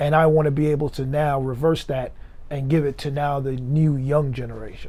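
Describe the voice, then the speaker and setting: In a room with audible echo, a man with a fairly high pitch and a dark, mellow tone speaks fairly quickly in a monotone, flat intonation. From Jamaica (Kingston), raised in Miami from age ten. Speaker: music executive. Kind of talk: interview.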